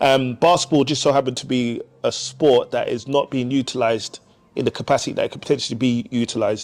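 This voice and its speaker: A man rushes through his words at a very fast pace. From London. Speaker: youth basketball organisation founder. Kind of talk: podcast interview. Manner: halting, frequent fillers and repeats.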